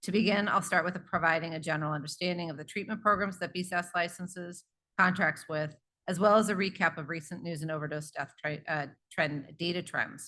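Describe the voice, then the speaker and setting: Over a quiet background, a woman with a fairly low pitch and a bright, sharp tone talks at a very fast pace. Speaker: public health official. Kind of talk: conference presentation.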